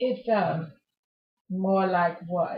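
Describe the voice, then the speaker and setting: Very slowly, a woman talks in a somewhat breathy, medium-pitched voice with ordinary pitch variation. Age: 60s. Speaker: retiree being interviewed. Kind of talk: interview.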